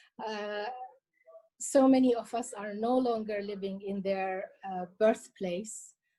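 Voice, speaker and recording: At a very slow pace, a woman speaks in a dark, mellow tone at a fairly high pitch, her intonation fairly even and her loudness swinging widely. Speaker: cultural heritage collector and author. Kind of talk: interview. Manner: hesitant, with many fillers and repetitions.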